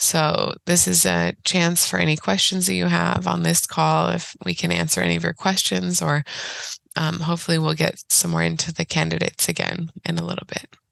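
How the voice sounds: Raspy with vocal fry, a woman's fairly low-pitched voice has a fairly bright tone and little pitch movement. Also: moderate pace.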